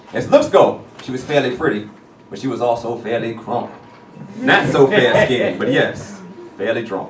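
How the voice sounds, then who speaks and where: Delivered at a moderate pace with long, frequent pauses and big swings in loudness, the speech has audible room echo and noticeable background noise. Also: man. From US South, Atlanta, Georgia. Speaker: spoken word poet. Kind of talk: spoken word poetry performance. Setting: stage with audience.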